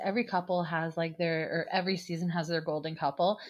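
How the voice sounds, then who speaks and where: A woman's ordinary speaking voice at fairly low pitch and a fairly quick pace. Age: 30s. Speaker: podcast host. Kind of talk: casual chat.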